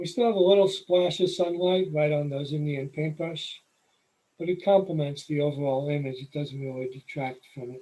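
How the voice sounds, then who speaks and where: A New York accent comes through as a man speaks at a moderate pace, somewhat breathy, with ordinary pitch variation and big swings in loudness. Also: fairly high pitch for a man. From New York City. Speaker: nature photographer, presenter. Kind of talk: presentation. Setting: video call.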